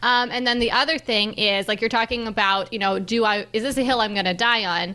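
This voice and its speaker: A woman speaks at a fairly quick pace with a normal speaking voice. Her pitch is fairly high and her intonation fairly even. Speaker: podcast host. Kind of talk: casual interview chat.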